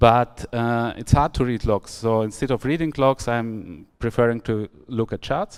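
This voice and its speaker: Speaking with a German accent at a fairly slow pace with hardly any pauses, a man holds a medium pitch and ordinary pitch variation on a very clean recording with a silent background. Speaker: software architect giving a tech talk. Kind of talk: conference talk. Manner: hesitant, many fillers.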